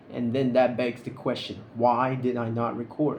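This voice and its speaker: Noticeable background noise and audible room echo surround a man speaking at a medium pitch and a moderate pace. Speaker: vlogger. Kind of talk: casual vlog monologue. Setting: recording alone to camera. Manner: halting, stuttering; unscripted, awkward pauses.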